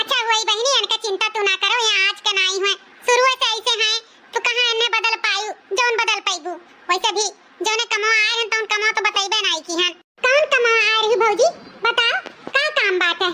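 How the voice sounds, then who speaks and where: A woman performs a cartoonish character voice at an extremely high pitch. She moves at a fairly quick pace with fairly even intonation. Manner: chatty, reassuring.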